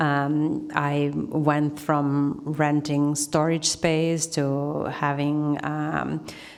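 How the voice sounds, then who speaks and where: In audible room echo, a woman speaks with a very deep, low pitch and a monotone, flat intonation. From Argentina. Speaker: artist. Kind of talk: Q&A answer; lecture.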